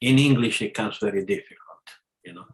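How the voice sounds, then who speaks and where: A man talks with an Italian accent. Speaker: spiritual lecturer. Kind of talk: casual chat. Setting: video call. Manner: halting.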